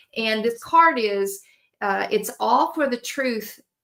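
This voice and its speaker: A woman's fairly high voice in a Southern US accent at a very slow pace, with ordinary pitch variation. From Tennessee. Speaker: oracle card reader. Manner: hesitant, many filler words.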